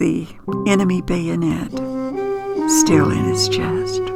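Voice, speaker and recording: A woman talks in an American accent while music plays in the background. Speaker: podcast host recounting childhood memories. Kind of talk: nostalgic personal storytelling.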